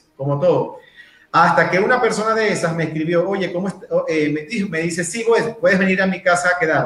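A man with a high pitch speaks at a moderate pace with ordinary pitch variation. Audible room echo surrounds his voice. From Venezuela, Maturín (Monagas, east). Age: 30s. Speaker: personal development speaker. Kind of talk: interview, casual chat.

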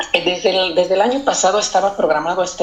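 Noticeable background noise behind a man's speech, its pitch moving in a normal way. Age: 40s. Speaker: community activist. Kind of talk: interview. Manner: halting.

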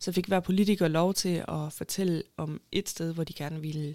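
A woman with a fairly low pitch speaks at a moderate pace, the sound dry and close with no echo. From Denmark, Haderslev (Southern Jutland). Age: 20s. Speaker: urban planner and award winner. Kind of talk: interview.

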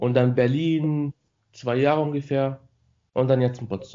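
The man's voice sits on the higher side. Its intonation is fairly even. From Morocco. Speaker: student. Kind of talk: casual interview chat. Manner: halting.

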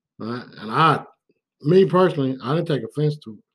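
A man at a moderate pace with ordinary pitch variation, on a very clean recording with a silent background. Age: 40s. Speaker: podcast host, former police officer. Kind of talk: casual monologue. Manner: casual, conversational.

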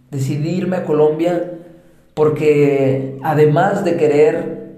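A man's fairly high voice in a Mexican accent, monotone and flat, with audible room echo and noticeable background noise. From Mexico. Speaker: podcast host. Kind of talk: personal monologue.

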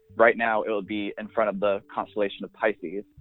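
In a normal speaking voice, someone talks at a fairly quick pace with fairly even intonation. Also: man. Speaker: astrology Instagram creator and astrologer. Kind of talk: casual interview.

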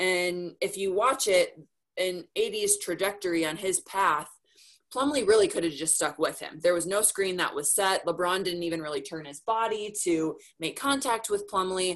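In a plain, everyday voice, a woman speaks at a fairly slow pace and medium pitch with ordinary pitch variation. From Minnesota. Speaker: sports reporter and TV anchor. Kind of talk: casual interview. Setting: video call.

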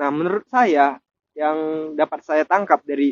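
Fairly high in pitch, a man's voice moves with ordinary pitch variation. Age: 20s. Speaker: university student. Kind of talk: student discussion podcast. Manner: formal.

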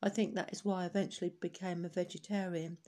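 A woman speaks at a medium pitch in a London accent, her tone dark and mellow. She keeps a moderate pace on a very clean recording with a silent background. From East London (Hackney). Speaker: oral history narrator, care charity founder. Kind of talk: reading aloud. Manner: halting, with self-corrections.

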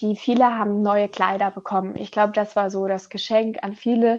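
Woman with a plain, everyday voice, fairly high in pitch with ordinary pitch variation. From Germany. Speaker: former volunteer teacher abroad. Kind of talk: interview. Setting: remote recording from home.

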